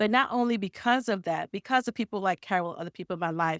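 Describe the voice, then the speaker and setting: With a Caribbean accent and lively intonation, a woman at a medium pitch is heard in a dry, close sound with no echo on a very clean recording with a silent background. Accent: Caribbean island. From Caribbean islands. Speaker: nonprofit funding consultant and business CEO. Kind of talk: podcast interview, personal story.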